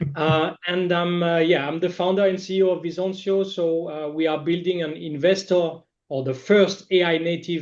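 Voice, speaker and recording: With a French accent, a man speaks in a high voice and a flat monotone. His pace is moderate, with hardly any pauses. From France. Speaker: startup founder and CEO. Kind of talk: webinar discussion. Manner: hesitant, many fillers.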